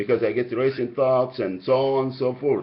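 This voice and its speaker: This man talks. He has a strong Egyptian accent. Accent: heavy Egyptian. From Egypt, Alexandria. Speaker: caller. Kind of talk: phone complaint call. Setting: phone call. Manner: halting.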